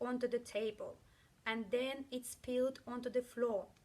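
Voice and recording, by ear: Her slightly mellow tone sits at a fairly high pitch as a woman speaks at a fairly slow pace with fairly even intonation.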